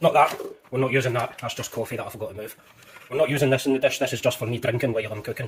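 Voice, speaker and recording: Talking at a very fast pace, a man uses a Scottish accent. His pitch is medium and his intonation fairly even. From Scotland. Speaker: home cooking youtuber. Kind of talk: cooking tutorial. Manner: casual, chatty.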